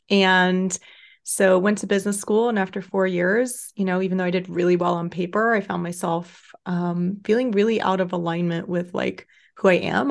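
A woman's unremarkable speaking voice with an American accent, medium pitch, fairly even intonation and moderate pace, over a quiet background. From Texas, Austin. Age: 30s. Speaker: life coach. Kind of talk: casual chat.

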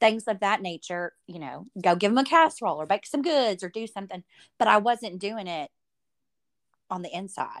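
A woman with a Southern US accent speaks at a fairly quick pace in a medium pitch with lively intonation. The sound is dry and close, with no echo. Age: 40s. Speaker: podcast host. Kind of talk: interview. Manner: animated.

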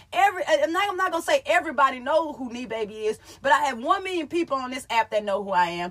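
Over noticeable background noise, a woman talks at a very fast pace with hardly any pauses, using a high pitch, very wide pitch swings, big swings in loudness and an animated tone. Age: 30s. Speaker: comedian and content creator. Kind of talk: casual monologue on live stream. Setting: live stream.

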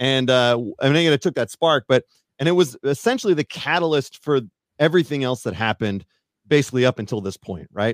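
In an ordinary speaking voice with an American accent, a man talks at a fairly quick pace with lively intonation. His pitch is medium, and the sound is dry and close with no echo. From Northern California. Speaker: mountain bike YouTuber. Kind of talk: casual chat. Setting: live stream.

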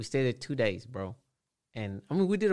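At a moderate pace, a man with an unremarkable speaking voice talks with lively intonation. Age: 30s. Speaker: tattoo artist. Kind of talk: casual chat.

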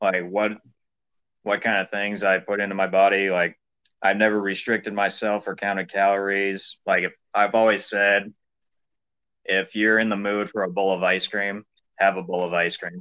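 A man with an American accent, fairly low in pitch, at a moderate pace with long, frequent pauses. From US Midwest, small-town western Illinois. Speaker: distance runner. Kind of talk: interview.

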